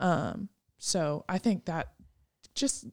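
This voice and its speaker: The recording is very clean, with a silent background. The sound is dry and close, with no echo. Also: woman. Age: late 20s. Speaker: podcast co-host. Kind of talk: casual faith discussion.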